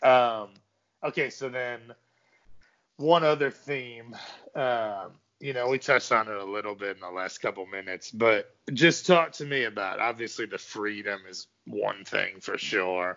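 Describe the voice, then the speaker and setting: Here a man has a plain, everyday voice at medium pitch, speaking at a moderate pace with ordinary pitch variation. His loudness swings a lot. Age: 30s. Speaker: podcast host. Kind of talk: casual chat. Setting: phone call.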